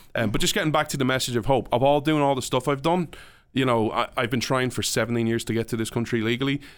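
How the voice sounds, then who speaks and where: In an Irish accent, a man speaks very fast at medium pitch with ordinary pitch variation and very even loudness. The recording is very clean, with a silent background. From Ireland. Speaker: podcast guest and public speaker. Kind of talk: casual interview. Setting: studio.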